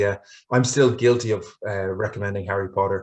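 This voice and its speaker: Against a quiet background, a man with an Irish accent speaks very fast at a fairly low pitch. He is somewhat breathy, and his intonation is monotone and flat. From Ireland. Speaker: English language teacher trainer. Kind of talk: conference webinar presentation. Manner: hesitant, many fillers and repetitions.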